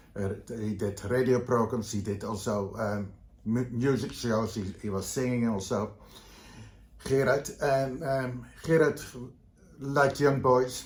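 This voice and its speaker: Audible room echo surrounds a man with a Dutch accent and a somewhat breathy, medium-pitched voice showing ordinary pitch variation. His pace is fairly slow, broken by long, frequent pauses. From Netherlands, Vlaardingen near Rotterdam. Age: 70s. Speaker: leather community veteran. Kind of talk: interview. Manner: halting, many fillers.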